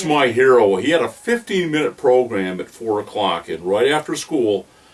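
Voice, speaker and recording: Over noticeable background noise, a man speaks at a moderate pace with lively intonation. His pitch sits at a medium level. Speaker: voice actor, impressionist. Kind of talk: casual interview answer.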